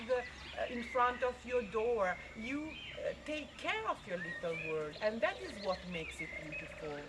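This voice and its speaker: Someone speaks with an Italian accent over noticeable background noise. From Italy, Milan. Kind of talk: interview. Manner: halting.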